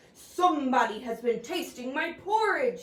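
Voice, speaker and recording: A woman growls in a high-pitched, put-on character voice at a moderate pace, with slight echo. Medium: read story.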